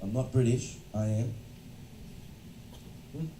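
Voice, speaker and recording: With audible room echo around him, a man talks at a fairly slow pace. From Australia. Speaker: education consultant and lecturer. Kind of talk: lecture. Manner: interactive, engaging with audience.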